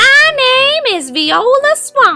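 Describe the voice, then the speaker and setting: A raspy, female-sounding voice does a put-on character voice over faint music in the background. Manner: scary, menacing.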